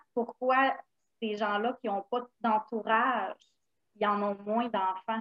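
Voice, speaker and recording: Very slowly, a woman speaks in a Quebec accent at a fairly high pitch with ordinary pitch variation. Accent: Québécois French. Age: 30s. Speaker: stay-at-home mother of four. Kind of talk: casual chat.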